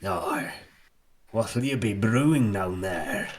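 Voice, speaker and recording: A man speaks very slowly in a raspy, put-on character voice at a medium pitch. His pitch varies in an ordinary way, and there is audible echo. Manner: probing, curious.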